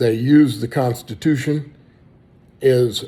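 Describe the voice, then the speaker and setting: A man with an American accent speaks fairly slowly at medium pitch, his tone dark and mellow. His voice is somewhat breathy, with ordinary pitch variation. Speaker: political candidate. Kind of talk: campaign speech.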